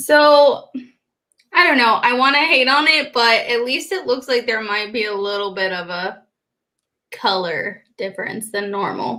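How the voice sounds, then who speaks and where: At a high pitch and fairly slow pace, a woman speaks in a bright, sharp tone with very wide pitch swings. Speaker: beauty youtuber. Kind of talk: casual chat. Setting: live stream.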